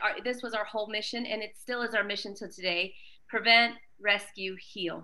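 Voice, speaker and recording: Speaking with a Californian accent, a woman has a fairly high pitch. She keeps a moderate pace and fairly even intonation. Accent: Californian American. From Southern California. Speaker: missionary, founder of a charity. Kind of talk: interview testimony.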